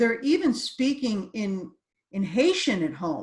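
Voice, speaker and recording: Speaking at a very slow pace with an American accent, a woman uses a fairly high, somewhat breathy voice with very wide pitch swings. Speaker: course designer and trainer. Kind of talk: interview.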